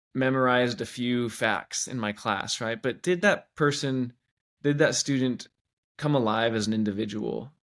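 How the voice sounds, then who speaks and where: The recording is very clean, with a silent background. A man with an American accent talks at a moderate pace, medium in pitch with ordinary pitch variation. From US Pacific Northwest (Washington State). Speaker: teacher. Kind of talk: interview.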